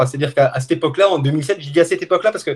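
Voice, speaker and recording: A man speaks in a somewhat breathy, fairly high voice with ordinary pitch variation. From France, Haute-Savoie. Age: 50s. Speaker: journalist and trail runner filming races. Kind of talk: casual interview chat.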